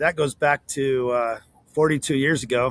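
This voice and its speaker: A man with a plain, everyday voice talks at a fairly slow pace and medium pitch, with fairly even intonation and a dry, close sound with no echo. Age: 60s. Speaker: plumbing business owner. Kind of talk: casual interview.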